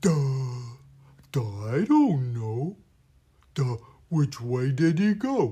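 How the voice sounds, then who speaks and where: A man in a put-on character voice, medium in pitch, very slow with long, frequent pauses and lively intonation. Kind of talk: 'duh' sound. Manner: slow, dull.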